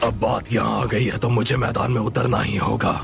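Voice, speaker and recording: A man uses a put-on character voice at medium pitch. He talks at a very fast pace over loud background noise. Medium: fan dub.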